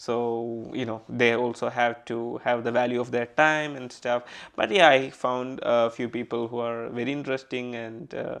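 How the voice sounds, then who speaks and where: At a moderate pace, a man with a Keralan accent speaks in a monotone, flat intonation against a quiet background. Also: medium pitch for a man. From Kerala, southern India. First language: Malayalam. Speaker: podcaster. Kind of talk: casual interview chat.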